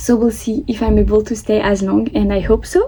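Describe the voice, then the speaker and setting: A woman with a French accent speaks over noticeable background noise. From France. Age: 20s. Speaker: vlogger. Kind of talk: casual vlog monologue.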